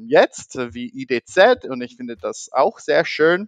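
Against a quiet background, a man with an American accent speaks at a very slow pace in a dry, close sound with no echo. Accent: American accent in German, non-fluent. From US (half American, half German). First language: English (speaking German). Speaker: podcast host. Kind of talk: casual interview. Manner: halting, many fillers.

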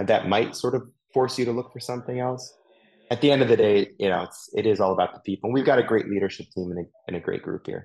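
This voice has an American accent and ordinary pitch variation. The pace is very fast. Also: man, medium pitch for a man. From US Mid-Atlantic, DC/Maryland area. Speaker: marketing executive. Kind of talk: casual interview. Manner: hesitant, many fillers and repeats.

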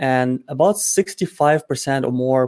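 The sound of this man's voice is dry and close, with no echo. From immigrant to the US. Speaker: e-commerce entrepreneur. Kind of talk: interview. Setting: live video stream. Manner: confident.

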